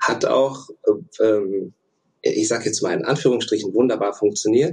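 A somewhat breathy man at a fairly slow pace, lively in intonation, with long, frequent pauses. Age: 30s. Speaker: former elite canoeist, engineering student. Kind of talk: interview. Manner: hesitant, many filler sounds.

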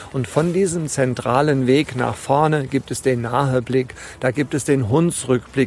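Here is a man with an ordinary speaking voice at a medium pitch. His intonation stays fairly even, and he speaks at a fairly slow pace. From Rheingau, Hesse. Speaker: tour guide. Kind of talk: interview. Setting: outdoors on a hiking trail.

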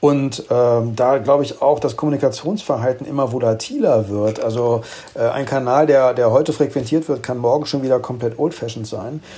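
In an ordinary speaking voice, a man talks at a fairly quick pace and medium pitch with fairly even intonation. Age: 50s. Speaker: corporate communications head. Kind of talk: interview. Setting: home office remote connection.

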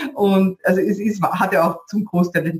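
Somewhat breathy and medium in pitch, a woman speaks in a Viennese accent with ordinary pitch variation. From Vienna, Austria. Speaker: podcast host, online business coach. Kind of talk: interview.

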